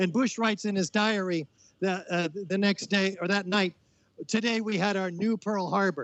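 The pace is moderate. Intonation remains fairly even. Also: man, high pitch for a man. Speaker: architect and activist. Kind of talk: interview. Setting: outdoors.

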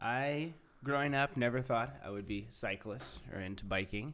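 A man has an unremarkable speaking voice with an American accent. He keeps a moderate pace with ordinary pitch variation. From Orange County, California. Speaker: podcast host. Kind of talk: casual chat.

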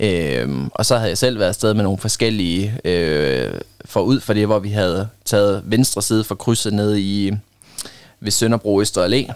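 A man has an unremarkable speaking voice with a fairly low pitch. His pace is moderate and his pitch variation ordinary. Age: 20s. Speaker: volunteer litter picker. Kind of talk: casual interview. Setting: studio.

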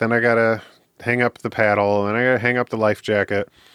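A man with an American accent, at medium pitch, talking very fast in a flat monotone. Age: 30s. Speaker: podcast guest, recovering drinker and counseling student. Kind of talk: interview conversation.

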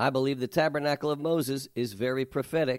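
A man speaks at a moderate pace in a normal speaking voice, fairly high in pitch. The recording is very clean, with a silent background and a dry, close sound with no echo. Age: 60s. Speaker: pastor. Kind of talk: Bible teaching.

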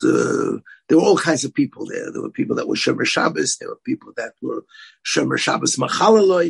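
Here a man speaks at a fairly quick pace. The sound is dry and close, with no echo. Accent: American. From US, Brooklyn, New York. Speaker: rabbi and yeshiva head. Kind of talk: podcast interview.

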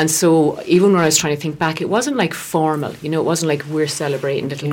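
A woman with an Irish accent talks very fast, her pitch very deep and low, her intonation fairly even. Noticeable background noise sits behind her. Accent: Irish (Galway). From West Galway, Ireland. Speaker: herbalist and therapist. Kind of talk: radio interview.

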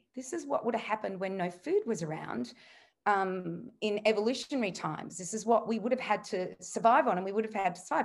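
Fairly quick speech from a woman with an Australian accent. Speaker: nutritionist and author. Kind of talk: interview conversation.

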